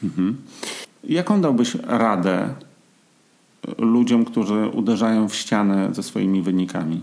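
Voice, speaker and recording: A man's very slow, fairly low-pitched speech with ordinary pitch variation, long and frequent pauses, and noticeable background noise. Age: 40s. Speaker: podcast host, amateur marathon runner. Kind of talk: casual chat.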